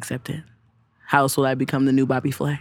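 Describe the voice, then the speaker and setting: A woman talks at a fairly quick pace. Her pitch is very deep and low. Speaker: writer and media host. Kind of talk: casual chat.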